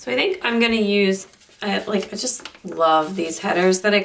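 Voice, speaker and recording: Against noticeable background noise, a woman talks with ordinary pitch variation. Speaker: planner crafting youtuber. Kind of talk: casual chat. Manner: casual, rambling with fillers.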